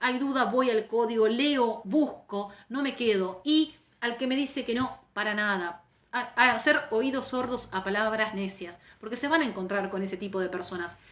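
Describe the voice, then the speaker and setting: A woman's animated tone, with ordinary pitch variation and a moderate pace. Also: fairly high pitch for a woman. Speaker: labor lawyer and teacher. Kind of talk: live online lecture. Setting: Instagram live stream.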